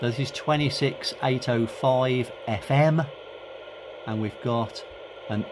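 Slow speech from a man amid clear background noise

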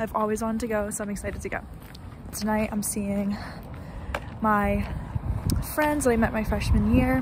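A woman talks at a fairly quick pace with noticeable background noise. The sound is dry, with no echo. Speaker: college student vlogger. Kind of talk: casual vlog chat. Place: street. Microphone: phone near.

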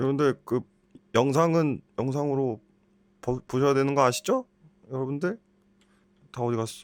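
A man with a fairly high pitch and ordinary pitch variation, at a moderate pace with long, frequent pauses, in a dry, close sound with no echo. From South Korea. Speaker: game youtuber and virtual variety show host. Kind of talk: comedy quiz show. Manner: animated.

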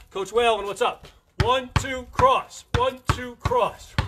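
A man speaks very slowly as noticeable background noise carries on. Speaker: basketball coach. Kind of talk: live-streamed coaching workout, barking out drill cues and counting time. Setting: Facebook Live stream. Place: garden. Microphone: phone near.

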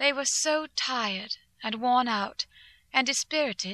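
A raised, projected voice with a bright, sharp tone comes through dry and close with no echo, on a very clean recording with a silent background. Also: woman. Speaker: audiobook narrator. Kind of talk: dramatic audiobook narration of journal entries. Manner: earnest, tense, emotional, brisk.

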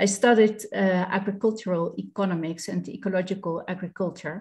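A woman speaks with a Dutch accent and a somewhat breathy voice. Her intonation is fairly even, and the background is quiet. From Netherlands. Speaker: beekeeper. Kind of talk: webinar presentation. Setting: video call. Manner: halting. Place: home room. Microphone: video call.

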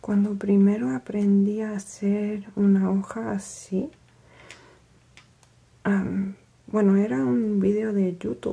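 At a very slow pace, the soft-spoken voice leaves long, frequent pauses. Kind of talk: ASMR craft narration. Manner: soft-spoken, quiet.

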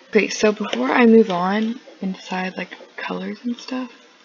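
A woman at a moderate pace with ordinary pitch variation, against noticeable background noise. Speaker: gaming tutorial youtuber. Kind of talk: tutorial. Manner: casual, hesitant with fillers.

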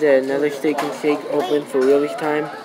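Fairly even intonation from a man, with noticeable background noise. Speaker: vlogger on a family road trip. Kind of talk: casual vlog chat. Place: cafe. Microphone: phone near.

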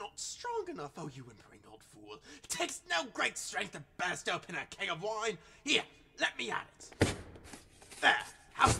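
Taking long, frequent pauses, a man speaks at a moderate pace with a high pitch. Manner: boisterous, cruel, shouting.

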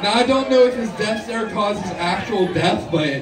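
Someone speaks at a moderate pace over noticeable background noise. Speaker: stand-up comedian. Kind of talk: stand-up comedy set of scripted-sounding jokes and punchlines. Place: stage.

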